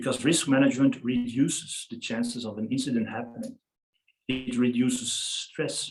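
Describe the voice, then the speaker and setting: Speaking with a non-native accent at a moderate pace, the voice stays monotone and flat. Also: man, medium pitch for a man. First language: not English. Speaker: freediving safety presenter. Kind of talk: lecture.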